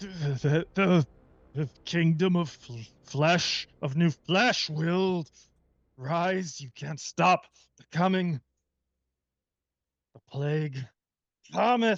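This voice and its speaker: A man puts on a character voice with a high pitch. He speaks at a very slow pace, leaving long, frequent pauses. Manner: frustrated, stammering, ominous.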